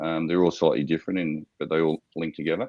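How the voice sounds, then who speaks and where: With an Australian accent, a man rattles off his words very fast. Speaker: startup founder pitching to investors. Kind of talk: investor Q&A. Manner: hesitant, many fillers.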